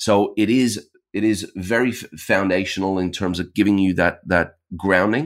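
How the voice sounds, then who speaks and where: A man's very deep, low voice at a moderate pace, fairly even in intonation, on a very clean recording with a silent background. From Ireland. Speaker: brand strategist. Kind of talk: interview.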